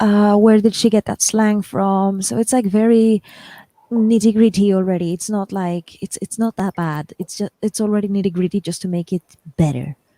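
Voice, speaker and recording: A woman with a non-native accent speaks at a moderate pace and medium pitch in a dark, mellow tone, dry and close with no echo on a very clean recording with a silent background. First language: not English. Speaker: writer and channel host. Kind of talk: casual chat. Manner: animated.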